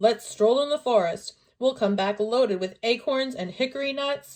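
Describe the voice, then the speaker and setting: High pitch from a woman in a put-on character voice, moderate in pace. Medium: read story.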